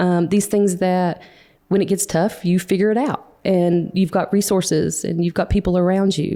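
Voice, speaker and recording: A woman with a Western North Carolina accent speaks at a moderate pace in a medium pitch, her tone dark and mellow and her intonation fairly even, on a very clean recording with a silent background. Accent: Western North Carolina mountain. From Western North Carolina mountains (near Boone). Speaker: bakery owner. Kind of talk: interview conversation.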